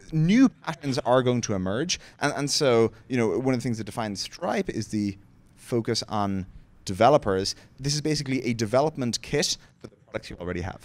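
A man with an Irish accent, a fairly quick pace and big swings in loudness. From Limerick, Ireland. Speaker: tech company co-founder and president. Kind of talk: onstage interview answer. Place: stage. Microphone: handheld.

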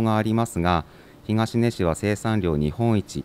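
Recorded with a dry, close sound and no echo, a man speaks at a fairly slow pace with ordinary pitch variation. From Yamagata, Shonai region (Sakata). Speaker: prefectural government staff. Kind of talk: reading aloud; interview. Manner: formal, with hesitations.

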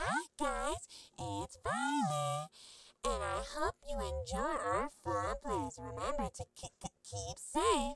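A female-sounding, put-on character voice speaks at a very slow pace. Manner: friendly, stuttering glitch.

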